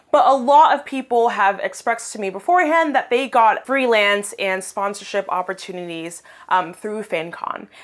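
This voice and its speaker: A woman speaks loudly in an animated tone at a moderate pace. Her pitch makes very wide swings. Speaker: financial blogger, vlogger. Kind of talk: casual vlog review.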